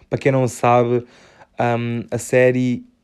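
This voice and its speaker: With a European Portuguese accent, a man speaks at a fairly slow pace in a medium pitch with a dark, mellow tone. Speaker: podcaster. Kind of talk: casual chat. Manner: animated.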